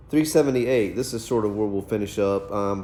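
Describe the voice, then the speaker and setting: Fairly quick speech from a man with a fairly low pitch, plus audible room echo. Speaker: teacher. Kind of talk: lecture. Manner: fast.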